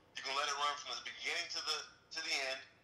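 A man talks at a very fast pace with an American accent. Room echo is audible. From Houston, Texas. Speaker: rapper and music producer. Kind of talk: interview.

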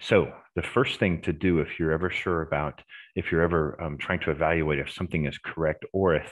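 His voice is very deep and low, with vocal fry. He talks at a moderate pace against a quiet background. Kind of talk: Q&A explanation. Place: home room. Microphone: headset.

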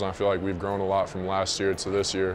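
A man talks at a fast pace. His pitch sits fairly low.

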